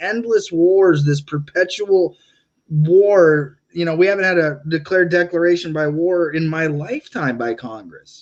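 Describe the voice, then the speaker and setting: A man with an American accent, high in pitch, at a moderate pace. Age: 30s. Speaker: political podcast host and candidate. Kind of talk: interview. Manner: halting.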